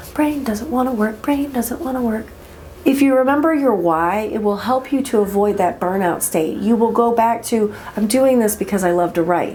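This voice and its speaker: A quiet woman's voice, fairly high-pitched, with lively intonation at a moderate pace over noticeable background noise. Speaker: indie author. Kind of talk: casual talk to camera.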